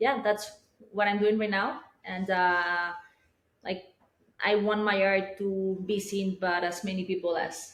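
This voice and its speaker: A woman speaks at a medium pitch and a fairly slow pace with fairly even intonation, leaving long, frequent pauses amid audible room echo. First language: not English. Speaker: digital artist. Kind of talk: casual interview. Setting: artist's studio with small live audience. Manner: halting, many fillers.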